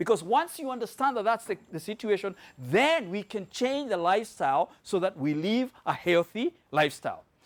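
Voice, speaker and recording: Captured with a dry, close sound and no echo, a voice with a Kenyan accent moves at a moderate pace in an animated tone with very wide pitch swings. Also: man. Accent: Kenyan accent, noticeable. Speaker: health product presenter. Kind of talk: sales presentation to live audience. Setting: room with live audience.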